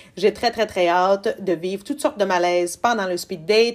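A woman with a Quebec accent, moderate pace and ordinary pitch variation. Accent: Québécois French. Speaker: TV recap podcaster. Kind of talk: casual solo recap. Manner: animated.

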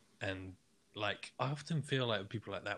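In a very clean recording with a silent background, a man speaks. His voice is somewhat breathy, with lively intonation. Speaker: film director and podcaster. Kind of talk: casual chat.

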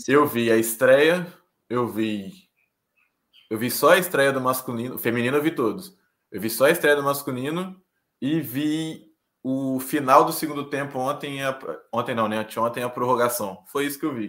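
This is an unremarkable speaking voice from a man at a medium pitch. He keeps a moderate pace with ordinary pitch variation. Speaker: podcast co-host. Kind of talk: casual chat.

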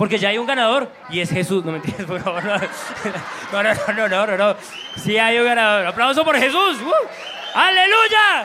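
Speaking at a fairly slow pace in a raised, projected voice, the speaker sounds animated, with lively intonation, noticeable background noise and audible room echo. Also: man, high pitch for a man. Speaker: comedian. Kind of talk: stand-up warm-up. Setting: stage with audience.

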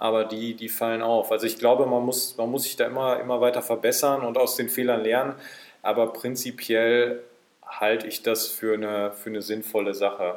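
A man at a medium pitch and moderate pace, with monotone, flat intonation. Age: 20s. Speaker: football referee. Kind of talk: casual chat. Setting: in a pavilion at the club grounds.

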